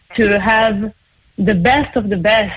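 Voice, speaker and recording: A somewhat breathy woman with an Israeli accent, fairly high in pitch, at a very slow pace. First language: Hebrew. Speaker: opera singer. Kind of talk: interview.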